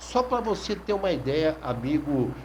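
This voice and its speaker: At a fairly slow pace, a man talks in an ordinary speaking voice. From Brazil, São Vicente (São Paulo coast). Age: 60s. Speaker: sports journalist. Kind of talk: radio talk monologue. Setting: online radio.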